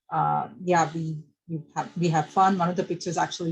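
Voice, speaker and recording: With a strong Indian accent, a woman speaks at a moderate pace, her fairly low voice keeping fairly even intonation. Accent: thick Indian. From India, Bangalore. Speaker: electrical engineer. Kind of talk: presentation. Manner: halting, many fillers.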